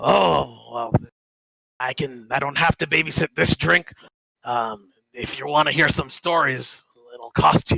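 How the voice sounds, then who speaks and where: In a put-on character voice, a man speaks at medium pitch with a raspy edge, lively intonation and big swings in loudness. His pace is fairly slow with long, frequent pauses, and the sound is dry and close with no echo. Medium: actual play.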